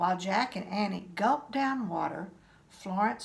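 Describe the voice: Simple plain reading aloud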